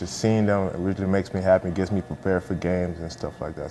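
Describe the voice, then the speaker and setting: Over music in the background, the speech runs at a very fast pace with monotone, flat intonation. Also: man. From US, moved from Nigeria at nine. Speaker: college football player. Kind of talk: interview. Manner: casual, with frequent fillers.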